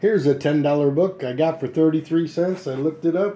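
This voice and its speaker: A man with a plain, everyday voice, fairly high pitch and ordinary pitch variation. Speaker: comic book collector. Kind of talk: casual video review.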